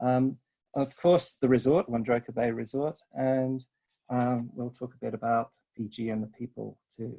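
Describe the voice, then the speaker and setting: A man with a British accent speaks at a medium pitch and a moderate pace. His intonation is fairly even, and the sound is dry and close with no echo. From Britain. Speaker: resort sales and marketing rep. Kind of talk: webinar presentation. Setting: online webinar. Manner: hesitant, many filler ums.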